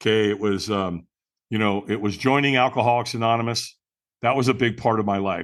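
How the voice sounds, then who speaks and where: In an American accent, a man talks at a moderate pace and medium pitch in an unremarkable speaking voice. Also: quiet background. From US West Coast, Long Beach, California. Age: 60s. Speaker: personal development speaker. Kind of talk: interview storytelling.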